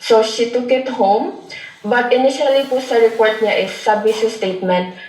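Over noticeable background noise and audible room echo, a woman speaks at a fairly slow pace. Her pitch is fairly high and her intonation fairly even. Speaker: airport theft complainant. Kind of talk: interview.

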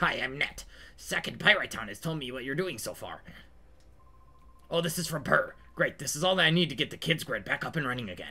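A man uses a put-on character voice with a fairly high pitch. He goes at a fairly quick pace with long, frequent pauses. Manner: nerdy.

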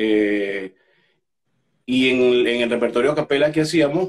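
This man's speech comes at a very slow pace. He shows ordinary pitch variation. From Venezuela. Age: 30s. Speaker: opera singer. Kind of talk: interview.

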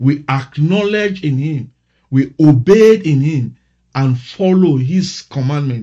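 Somewhat breathy and dark, mellow in tone, a man talks at a very slow pace with lively intonation. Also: fairly high pitch for a man. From Sierra Leone. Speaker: pastor. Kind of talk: prayer.

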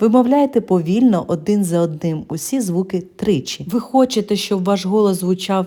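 A woman's medium-pitched voice with a dark, mellow tone and lively intonation, at a fairly slow pace, on a very clean recording with a silent background. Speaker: vocal school narrator. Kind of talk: reading aloud.

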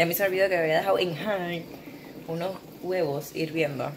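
A woman's fairly low-pitched voice at a fairly quick pace, with noticeable background noise. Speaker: lifestyle vlogger. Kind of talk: casual vlog. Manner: animated.

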